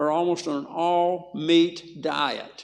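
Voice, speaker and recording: A man speaks in a high pitch with a strong Southern US accent. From US South. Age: 80s+. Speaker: health educator. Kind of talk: health talk to a church audience. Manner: animated.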